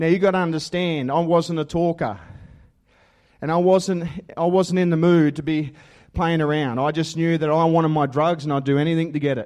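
A man with an Australian accent and fairly even intonation against a quiet background. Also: fairly high pitch for a man, fairly quick pace. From Australia (western New South Wales). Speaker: assistant pastor. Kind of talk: testimony sermon. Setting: church with congregation.

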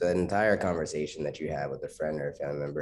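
An American accent and an extremely low pitch mark this man's voice, which has a slightly mellow tone.

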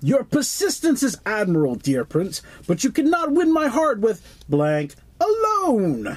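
In a put-on character voice pitched fairly high, the speaker swings very widely in pitch at a moderate pace. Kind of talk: formal courtly speech.

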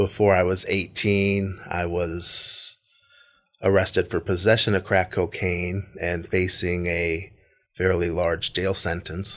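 A man with an American accent and a very deep, low voice talks very slowly in a monotone, flat intonation, recorded very cleanly against a silent background. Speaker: businessman. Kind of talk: testimony.

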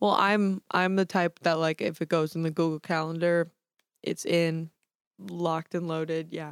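At a moderate pace, a woman with an American accent speaks at fairly low pitch with fairly even intonation. The recording is very clean and dry, close, with no echo and a silent background. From Staten Island, New York. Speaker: college student. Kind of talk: casual chat. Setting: studio.

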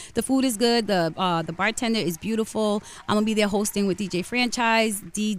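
Her voice is an ordinary speaking voice, fairly high for a woman, with ordinary pitch variation. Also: fairly quick pace. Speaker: morning radio co-host. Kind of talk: opinionated rant on a radio talk segment. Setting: radio studio. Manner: fired-up, indignant and blunt.

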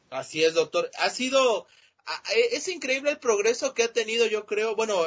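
A man speaks at a fairly slow pace. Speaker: sports podcast host. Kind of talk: casual sports chat.

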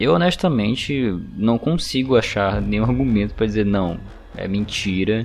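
A man's normal speaking voice, fairly low in pitch, with lively intonation at a moderate pace. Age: 20s. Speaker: podcast co-host. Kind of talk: casual chat.

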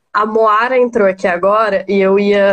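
A woman speaks in a monotone, flat intonation at a fairly high pitch. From Maranhão, Brazil. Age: 20s. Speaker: lawyer and political party spokesperson. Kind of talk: live-stream interview on feminism and politics. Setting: online live stream.

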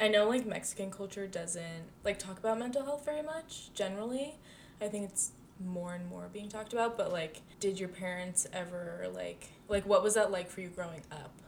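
In an unremarkable speaking voice at medium pitch, a woman speaks at a moderate pace with lively intonation and big swings in loudness. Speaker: podcast co-host. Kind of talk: casual chat.

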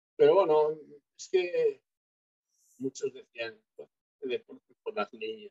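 Speaking at a very slow pace with long, frequent pauses, a man shows big swings in loudness in a dry, close sound with no echo. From Galicia, Spain. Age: 50s. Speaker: retired bodybuilder. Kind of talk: interview.

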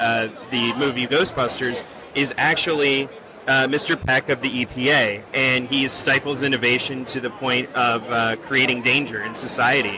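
A man of medium pitch talks with fairly even intonation over noticeable background noise. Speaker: film program representative. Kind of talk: casual interview answer. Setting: convention show floor.

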